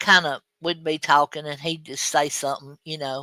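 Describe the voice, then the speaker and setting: A voice with an Alabama accent, captured in a very clean recording against a silent background. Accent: US Southern (Alabama). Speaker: live stream host. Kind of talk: casual chat. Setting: live stream. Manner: halting, many fillers.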